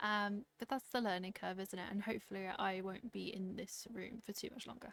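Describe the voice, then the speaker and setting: Speaking at a fairly quick pace, a woman has a medium pitch and fairly even intonation. It is an ordinary speaking voice. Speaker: knitting podcaster. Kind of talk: casual talk to camera. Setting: home room with fan noise.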